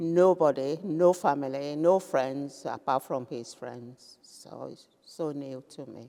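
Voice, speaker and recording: Speaking at a very slow pace with hardly any pauses, a woman with a Nigerian accent and a very deep, low pitch swings widely in loudness. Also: ordinary pitch variation. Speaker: retired businesswoman. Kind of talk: interview answer.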